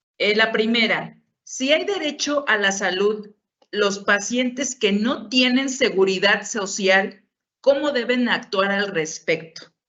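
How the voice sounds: Speaking slowly, a woman uses a medium pitch, a fairly bright tone and ordinary pitch variation.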